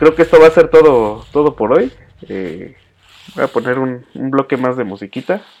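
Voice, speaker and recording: The speaker has a Mexican accent and lively intonation. Loudness swings widely. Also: man, medium pitch for a man, moderate pace. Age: 20s. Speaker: podcast host and music show presenter. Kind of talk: casual chat.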